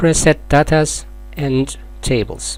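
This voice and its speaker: A man talks with a non-native accent. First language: not English. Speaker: software tutorial maker. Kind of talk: tutorial.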